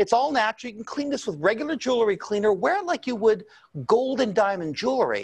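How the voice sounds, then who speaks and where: Against a quiet background, a man with an extremely high pitch talks very fast with lively intonation. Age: 60s. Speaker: presenter. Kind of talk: sales pitch. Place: studio. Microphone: lapel.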